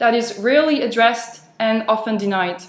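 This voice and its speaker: A woman's fairly high voice with a French accent, at a moderate pace. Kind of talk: speech for interpreting practice.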